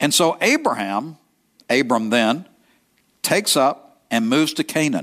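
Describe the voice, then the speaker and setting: In an East Texas accent, the speaker goes fairly slowly with long, frequent pauses, lively intonation and very even loudness, captured on a very clean recording with a silent background. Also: man, fairly high pitch for a man. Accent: East Texas Southern. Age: 70s. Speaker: pastor. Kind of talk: sermon. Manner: halting, with frequent fillers and repetitions.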